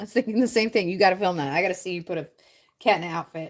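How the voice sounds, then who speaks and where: A woman talks at a very fast pace. Her loudness swings widely. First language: French. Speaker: Lego building livestreamer. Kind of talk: casual livestream chat with viewers.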